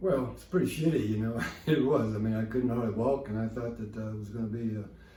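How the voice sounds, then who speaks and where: Amid noticeable background noise and audible room echo, a man talks at a very fast pace at a medium pitch, with ordinary pitch variation and big swings in loudness. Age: 70s. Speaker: patient testimonial, equestrian athlete. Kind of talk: testimony. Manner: halting.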